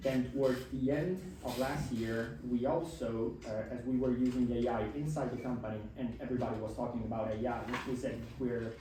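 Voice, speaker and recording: A man with an Italian accent speaks at a moderate pace and medium pitch. Noticeable background noise and audible room echo surround his voice. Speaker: startup founder and consultant. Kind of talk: talk to students.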